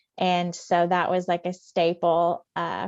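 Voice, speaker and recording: A woman speaks with a Southern accent at a fairly low pitch. The background is quiet, and the sound is dry and close with no echo. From US South, rural West Tennessee. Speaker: pharmacist and author. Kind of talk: interview.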